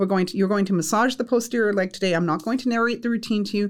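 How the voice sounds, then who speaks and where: Talking at a very fast pace, a woman uses a Canadian accent. Her pitch is medium, with ordinary variation. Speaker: college instructor. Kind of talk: casual interview.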